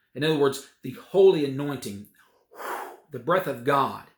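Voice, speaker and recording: With a normal speaking voice, a man talks at a moderate pace and a fairly high pitch on a very clean recording with a silent background. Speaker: preacher. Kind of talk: sermon, preaching to a congregation.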